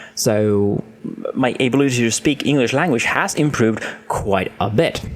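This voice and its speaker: With noticeable background noise behind him, a man speaks at a moderate pace and medium pitch, using ordinary pitch variation and very even loudness. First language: not English. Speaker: gaming streamer and video creator. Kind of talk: casual monologue to camera. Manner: halting, with fillers.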